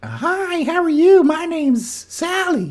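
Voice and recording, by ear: A man puts on a squeaky character voice at an extremely high pitch, speaking fairly slowly.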